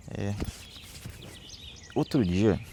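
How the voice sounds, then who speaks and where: There is noticeable background noise. Through it comes a man's voice. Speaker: lay preacher. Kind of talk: devotional reflection. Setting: outdoors. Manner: slow.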